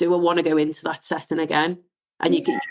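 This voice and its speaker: Here a woman speaks with a slight Scouse accent. Her pitch is fairly low. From northern England, Wirral. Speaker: diversity and inclusion founder. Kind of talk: casual chat.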